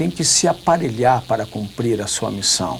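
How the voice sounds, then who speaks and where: Noticeable background noise sits behind a man's voice at medium pitch. His intonation is lively. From southern Brazil. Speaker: politician. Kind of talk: TV debate interview.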